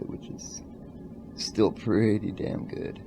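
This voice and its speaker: Room echo is audible as a man speaks. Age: 20s. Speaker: vlogger. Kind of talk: casual vlog monologue. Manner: slow.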